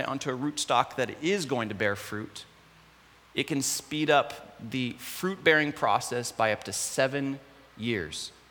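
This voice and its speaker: Over noticeable background noise, a man speaks fairly slowly with ordinary pitch variation. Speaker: guest preacher. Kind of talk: sermon.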